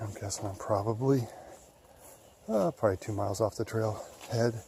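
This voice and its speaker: Quiet and somewhat breathy, a man's voice has a dark, mellow tone and fairly even intonation. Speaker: hiking vlogger. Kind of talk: outdoor vlog narration. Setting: outdoors in woods by a creek. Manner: quiet, low-voiced.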